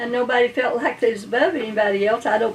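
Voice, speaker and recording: With an Appalachian accent, a woman talks at a very fast pace and a fairly high pitch. Noticeable background noise runs under her speech. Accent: Appalachian Kentucky. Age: 80s+. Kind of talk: interview answer.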